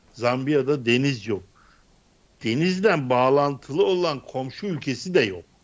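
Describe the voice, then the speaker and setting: Speaking at a fairly slow pace, a man uses lively intonation in a fairly high voice. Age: 60s. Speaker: political commentator. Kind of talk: political panel discussion. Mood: ironic, joking in segment. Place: home room. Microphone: studio mic.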